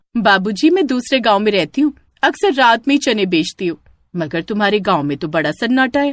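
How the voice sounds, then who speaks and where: A cartoonish character voice, fairly high in pitch, at a fairly quick pace. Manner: sweet-voiced then menacing.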